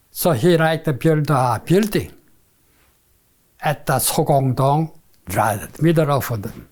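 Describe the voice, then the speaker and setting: A man with a Korean accent speaks very slowly with fairly high pitch. His intonation is lively. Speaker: retired civil engineer. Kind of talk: interview answer.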